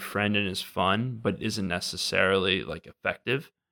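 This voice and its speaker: Dry and close with no echo, this very clean recording with a silent background features a man with an American accent and a fairly low voice, speaking with fairly even intonation. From Wisconsin. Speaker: podcast guest, government worker. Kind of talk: casual chat. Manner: halting.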